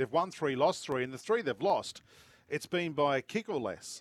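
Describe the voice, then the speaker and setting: Recorded very cleanly with a silent background and a dry, close sound with no echo, a man speaks in an animated tone at a fairly quick pace. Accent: Australian. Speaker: radio host. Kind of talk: live sports radio chat. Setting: outdoors at cricket oval. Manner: jokey, animated.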